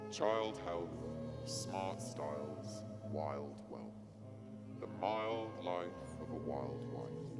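A woman's voice against loud background music. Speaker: spoken word performer. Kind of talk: performance poetry reading. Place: stage. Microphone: handheld.

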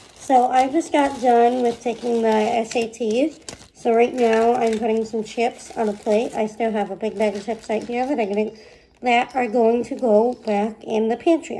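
Against clear background noise, a woman puts on a raspy character voice at a fairly high pitch and a moderate pace. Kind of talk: casual vlog, chatty.

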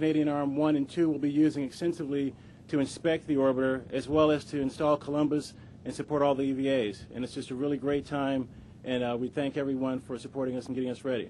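A man's very fast, dark, mellow voice in monotone, flat intonation over light background noise. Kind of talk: short public statement to press. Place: open country. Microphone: podium.

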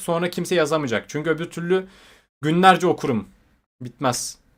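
Talking at a fairly quick pace, a man uses an animated tone. The recording is very clean, with a silent background. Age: 20s. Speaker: YouTuber. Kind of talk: livestream chat.

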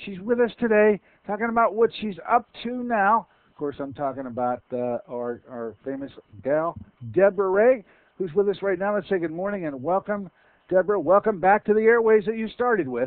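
Against a quiet background with dry sound and no echo, a man talks at a moderate pace in a high voice with very wide pitch swings. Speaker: radio host. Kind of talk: radio show interview. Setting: radio studio. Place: studio. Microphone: headset.

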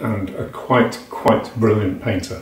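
A man speaks at a moderate pace in a flat monotone. Room echo is audible around him. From England, Nottinghamshire. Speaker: poet. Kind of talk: poetry reading of a dense, rhythmic, imagistic free-verse poem. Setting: home recording to camera. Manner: hesitant, filler-laden intro before the poem; rhythmic, percussive delivery of tumbling word lists. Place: home room. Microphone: webcam.

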